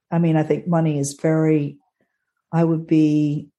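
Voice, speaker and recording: A woman speaks in a very deep, low, husky voice. Her tone is dark and mellow. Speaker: astrologer co-host.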